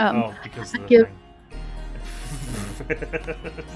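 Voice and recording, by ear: The voice sounds natural. It is reading aloud.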